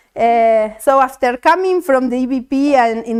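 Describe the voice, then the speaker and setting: On a very clean recording with a silent background, a woman with a Spanish accent speaks in a high pitch. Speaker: mathematician. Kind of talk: tribute speech read aloud. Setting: academic event with audience. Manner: halting.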